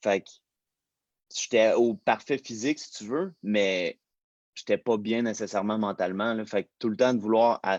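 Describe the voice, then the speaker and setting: A man with a Quebec accent at a fairly slow pace, with long, frequent pauses and big swings in loudness, in a dry, close sound with no echo. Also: medium pitch for a man, ordinary pitch variation, quiet background. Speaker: fitness personality. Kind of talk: casual interview. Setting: livestream.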